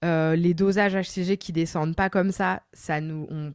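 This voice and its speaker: This is a woman with a plain, everyday voice, fairly low in pitch with fairly even intonation. The recording is very clean with a silent background, dry and close with no echo. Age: 30s. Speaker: lawyer and podcaster. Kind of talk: interview answer, personal story. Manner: casual, conversational.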